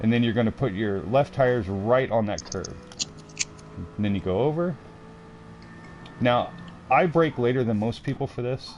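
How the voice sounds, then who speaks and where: Ordinary pitch variation, with long and frequent pauses. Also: man, medium pitch for a man. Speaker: sim racing streamer. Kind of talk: tutorial. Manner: fast; casual, explanatory.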